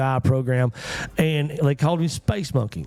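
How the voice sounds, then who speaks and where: Fairly quick and fairly high-pitched, a man with a Texan accent talks in a dark, mellow tone. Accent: Texan rural. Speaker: morning show host. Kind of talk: casual chat. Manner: animated.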